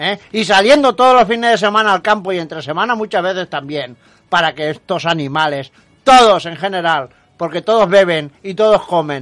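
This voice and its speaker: Lively intonation marks this man's high-pitched voice as he talks at a moderate pace. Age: 50s. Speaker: radio host. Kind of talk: radio talk show. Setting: radio studio. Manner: emphatic.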